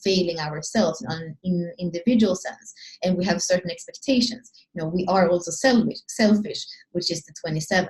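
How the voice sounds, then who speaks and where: The tone is dark and mellow, somewhat breathy, with ordinary pitch variation. The pace is fairly quick. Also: woman. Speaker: astrology and human design teacher. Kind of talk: solo video talk. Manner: fast; halting, many restarts.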